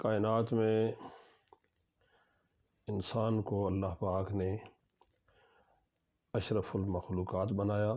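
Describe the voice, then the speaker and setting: A man with a fairly low pitch and a dark, mellow tone speaks in a monotone, flat way at very even loudness. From Pakistan, Chakwal district, Punjab. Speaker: professor. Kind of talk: interview answer.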